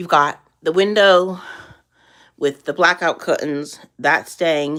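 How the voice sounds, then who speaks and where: In a very clean recording with a silent background, a woman speaks very slowly at a fairly low pitch. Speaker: lifestyle vlogger on minimalism and chronic illness. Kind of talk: casual livestream room tour. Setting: livestream on camera. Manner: halting, self-correcting.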